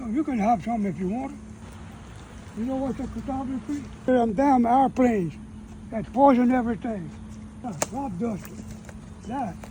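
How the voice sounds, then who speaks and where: Speaking in a Cajun accent at a moderate pace, a man with an extremely high pitch and ordinary pitch variation leaves long, frequent pauses. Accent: Cajun Louisiana English. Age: 80s+. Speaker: elderly rural homesteader. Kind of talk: casual chat.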